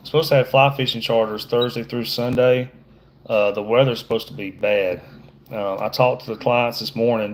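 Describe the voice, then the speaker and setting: With an American accent, a man talks at a moderate pace and a medium pitch. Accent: Southern US accent noted by viewer. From Georgia, US. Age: middle-aged. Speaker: fishing guide. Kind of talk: livestream tutorial with casual chat. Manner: casual, halting with fillers.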